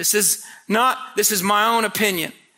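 With an American accent, a man speaks at a fairly slow pace in a raised, projected voice. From Indiana, US Midwest. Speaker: visiting preacher. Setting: church camp meeting with live audience. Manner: conversational and humorous, with storytelling asides.

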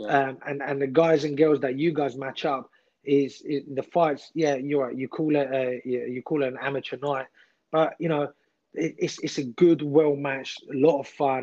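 With a dark, mellow tone, a man speaks in a monotone, flat intonation. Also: fairly high pitch for a man, moderate pace. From England, with childhood in Iran. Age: 30s. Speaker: combat sports referee. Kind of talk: casual interview.

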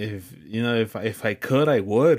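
A man at medium pitch on a very clean recording with a silent background. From Mexico, raised in the US. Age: 20s. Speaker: podcast co-host. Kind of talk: casual chat.

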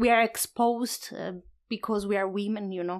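A woman speaks at a fairly high pitch in a monotone, flat delivery. The recording is very clean with a silent background. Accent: Italian. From Italy. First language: Italian. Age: 30s. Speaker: solo traveler and photographer. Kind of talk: interview. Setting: in a home.

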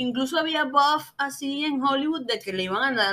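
A woman with a Caracas accent speaks in a raised, projected voice with lively intonation. Her pitch is high, and there is noticeable background noise. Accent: Venezuelan Spanish (Caracas). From Venezuela, Caracas. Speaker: podcast host. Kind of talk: casual chat.

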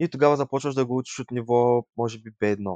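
The speaker has a plain, everyday voice with ordinary pitch variation at a moderate pace. The sound is dry and close with no echo, over a quiet background. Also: man. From Bulgaria, Yambol. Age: 20s. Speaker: tourism graduate. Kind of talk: interview.

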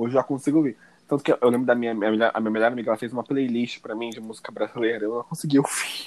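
A man at medium pitch rushes along at a very fast pace in an animated tone, with big swings in loudness. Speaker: podcast host. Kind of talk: casual chat.

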